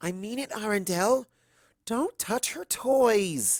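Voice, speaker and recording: Putting on a character voice, a woman speaks at a medium pitch and a fairly slow pace with lively intonation. The sound is dry and close, without echo. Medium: read story. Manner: earnest, pained.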